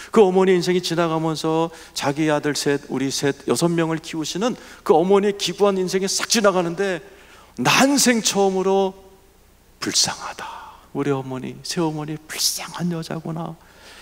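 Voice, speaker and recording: A man speaks in an animated tone at a high pitch, with ordinary pitch variation. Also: moderate pace. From Seoul, South Korea. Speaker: pastor. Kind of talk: sermon.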